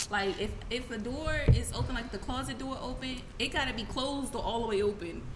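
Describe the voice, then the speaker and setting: A woman speaks at a fairly quick pace in a high pitch with ordinary pitch variation, and noticeable background noise runs underneath. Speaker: podcast host. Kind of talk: casual banter.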